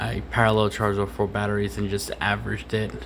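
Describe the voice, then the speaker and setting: Through audible room echo and noticeable background noise, a man with a fairly low pitch speaks with lively intonation. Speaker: FPV drone hobbyist. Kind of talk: tutorial. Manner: halting; casual.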